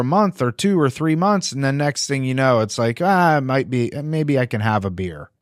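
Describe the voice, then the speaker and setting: An ordinary speaking voice with an American accent, set at a moderate pace with lively intonation. The recording is very clean, with a silent background. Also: man. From blue-collar factory town, US Midwest. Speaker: podcast host, addiction recovery center. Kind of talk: casual interview.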